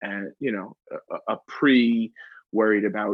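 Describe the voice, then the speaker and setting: A man in a New York accent with lively intonation. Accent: New York City. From Queens, New York City. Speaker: New York real estate expert and content creator. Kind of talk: podcast interview answer. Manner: candid, unfiltered.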